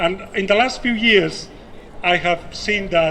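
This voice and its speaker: Over noticeable background noise, a man with a non-native accent speaks in a high-pitched, raised, projected voice. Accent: foreign. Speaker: nurse and activist. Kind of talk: rally speech. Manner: impassioned; halting, repeats words.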